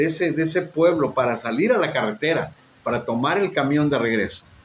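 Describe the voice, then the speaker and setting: Amid audible room echo, a man speaks at a fairly quick pace with a fairly high pitch. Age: 60s. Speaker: pastor. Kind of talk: sermon with personal testimony.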